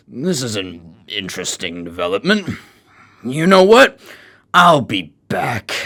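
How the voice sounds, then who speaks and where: A man's raspy put-on character voice at medium pitch, with very wide pitch swings, a fairly slow pace and long, frequent pauses. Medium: audio drama. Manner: taunting, arrogant.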